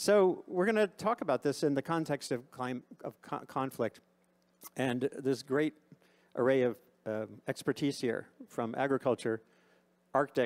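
A man talks at a medium pitch and a fairly slow pace, with lively intonation. Long, frequent pauses break up his speech. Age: 60s. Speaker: journalist and panel moderator. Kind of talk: moderated panel discussion. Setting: conference stage with audience. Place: stage. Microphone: handheld.

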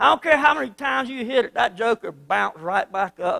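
A man talks at a moderate pace in a high voice. The background is quiet. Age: 50s. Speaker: pastor. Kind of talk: sermon. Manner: animated. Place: church. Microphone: handheld.

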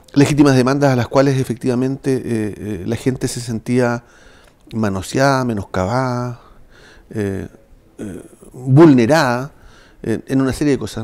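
At a fairly slow pace, a man speaks with ordinary pitch variation and long, frequent pauses. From southern Chile, Chiloé (Ancud); southern Chile. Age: 60s. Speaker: municipal administrator and former official; interview guest. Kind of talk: political interview. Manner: halting, repeating words. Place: studio.

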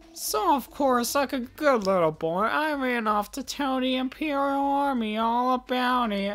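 A put-on character voice, fairly high and smug, at a fairly slow pace over faint background music. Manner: snotty, smug, taunting.

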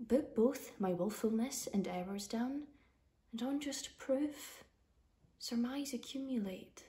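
Very slowly, a woman speaks in a dark, mellow tone, somewhat breathy, with ordinary pitch variation. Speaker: actor. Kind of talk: poetry reading. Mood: earnest, pleading. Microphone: phone near.

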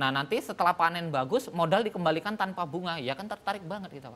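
A man's high-pitched voice carries a bright, sharp tone and lively intonation. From Medan, North Sumatra, Indonesia; North Sumatra, Indonesia. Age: 40s. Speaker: farmer; guest. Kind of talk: TV talk show interview; speech. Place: studio. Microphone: lapel.

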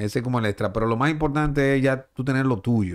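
A man's fairly high-pitched voice comes through against a quiet background. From Dominican Republic. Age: 40s. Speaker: sports journalist and baseball broadcaster; sports journalist. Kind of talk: casual chat. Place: studio. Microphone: studio mic.

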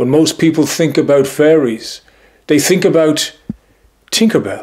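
At a fairly slow pace, a man with an Irish accent speaks at a fairly high pitch with vocal fry. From Ireland. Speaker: history and folklore storyteller. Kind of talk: casual narration to camera. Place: home room.

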